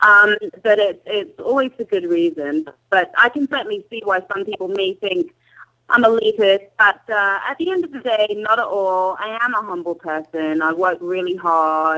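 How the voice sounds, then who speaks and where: A woman with an English accent and lively intonation. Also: medium pitch for a woman, moderate pace. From England. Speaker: journalist and reality TV personality. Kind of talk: interview.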